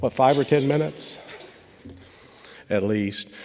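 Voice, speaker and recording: Over noticeable background noise, a man with a slight Kentucky accent talks at a moderate pace. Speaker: law enforcement trainer. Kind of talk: graduation speech. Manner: halting, many fillers.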